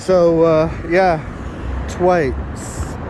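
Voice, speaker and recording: Over noticeable background noise, a man speaks with a Lancashire accent. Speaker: vlogger. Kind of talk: casual walking vlog. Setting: outdoors under a motorway. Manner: loud, shouting.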